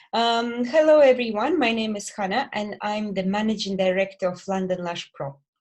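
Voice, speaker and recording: A woman's fairly high voice with ordinary pitch variation, a Belarusian accent, a moderate pace and hardly any pauses. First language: Belarusian or Russian. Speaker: lash company director. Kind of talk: podcast interview. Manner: hesitant.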